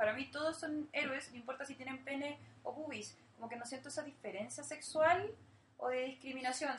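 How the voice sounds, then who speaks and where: Fairly quick speech from a woman in a high voice with ordinary pitch variation. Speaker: journalist. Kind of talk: casual chat.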